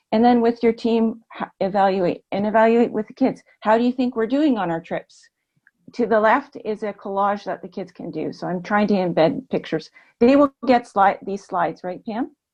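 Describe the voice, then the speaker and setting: An ordinary speaking voice from a woman, fairly high in pitch with ordinary pitch variation, at a moderate pace with big swings in loudness, in dry, close sound with no echo over a quiet background. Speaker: kindergarten teacher. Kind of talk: webinar presentation.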